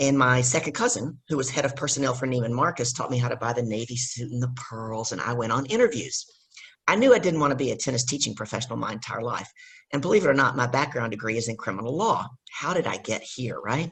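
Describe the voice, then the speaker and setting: Speaking very fast with a Southern US accent, a woman uses a very deep, low pitch and ordinary pitch variation. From US South, Louisiana. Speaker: business coach. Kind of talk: casual chat.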